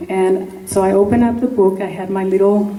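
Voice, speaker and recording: Speech in a Spanish accent comes at a moderate pace, with audible room echo and noticeable background noise. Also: woman. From Mexico. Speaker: congressional candidate. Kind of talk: campaign speech. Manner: animated.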